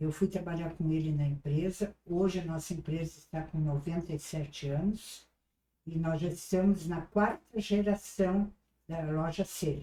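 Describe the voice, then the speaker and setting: With a dark, mellow tone and fairly low pitch, a woman speaks at a fairly slow pace with fairly even intonation. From southern Brazil, Rio Grande do Sul (Salvador do Sul). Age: 80s+. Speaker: retired businesswoman. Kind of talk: interview. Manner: halting.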